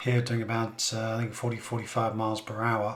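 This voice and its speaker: Noticeable background noise and audible room echo surround a man speaking with an English accent. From England. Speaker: car reviewer. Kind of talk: product review.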